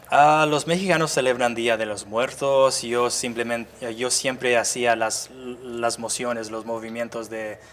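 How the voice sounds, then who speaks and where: A man with a medium pitch keeps his intonation fairly level and talks fairly slowly. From US suburbs. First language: English (speaking Spanish). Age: 30s. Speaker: activist. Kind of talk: interview. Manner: halting.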